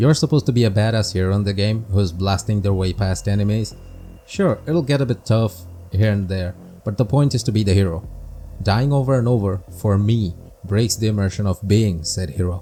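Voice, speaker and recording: A man with a fairly low pitch speaks at a fairly quick pace, his dark, mellow tone somewhat breathy. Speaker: gaming video creator. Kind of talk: scripted game review narration. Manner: monotone.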